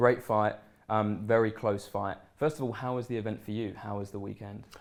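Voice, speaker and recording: A man with fairly low pitch and an unremarkable speaking voice, at a moderate pace with fairly even intonation. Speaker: sports journalist. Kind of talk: interviewer questions.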